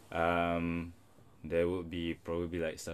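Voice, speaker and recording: A man talks at a very slow pace in a very deep, low voice. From Singapore. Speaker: podcast host and restaurant owner. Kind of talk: casual chat. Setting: studio.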